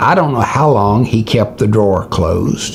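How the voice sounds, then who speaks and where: The speaker goes at a fairly slow pace. Noticeable background noise and audible room echo sit in the recording. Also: man. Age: 70s. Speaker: preacher. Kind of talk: sermon with personal story. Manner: halting, frequent uh fillers.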